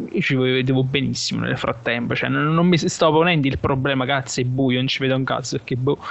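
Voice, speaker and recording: Noticeable background noise fills the recording. Through it, a man moves at a fairly quick pace. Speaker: radio co-host. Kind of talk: casual chat.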